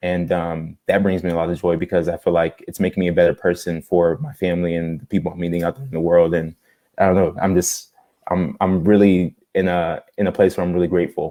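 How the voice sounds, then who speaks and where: Very fast in pace, a man speaks with a very deep, low pitch, a dark, mellow tone and fairly even intonation. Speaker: social media creator, inspirational speaker. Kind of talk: casual interview chat. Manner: stutters; halting, repeats words.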